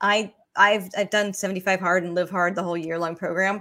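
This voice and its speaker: A woman with an ordinary speaking voice talks at a moderate pace and a medium pitch. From Georgia, US. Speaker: podcast host. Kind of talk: interview.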